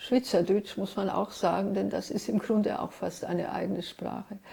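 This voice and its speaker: Amid noticeable background noise, a woman with a medium pitch reads at a moderate pace in a monotone, flat intonation, with hardly any pauses. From Switzerland, Zurich (early childhood Ljubljana, Trieste). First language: Hungarian (speaking German). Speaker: writer and literary translator. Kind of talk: interview, personal recollection.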